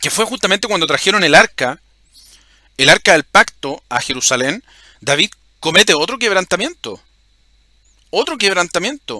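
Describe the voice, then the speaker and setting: A man's high-pitched, raised and projected voice with a bright, sharp tone, very wide pitch swings, a moderate pace, and long, frequent pauses. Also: dry, close sound with no echo. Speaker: religious video host. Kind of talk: bible teaching monologue. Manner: halting, repeats words.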